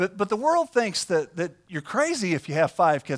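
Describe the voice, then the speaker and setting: Against a quiet background, a man speaks at a fairly quick pace with very wide pitch swings. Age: 40s. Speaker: pastor. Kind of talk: sermon. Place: church.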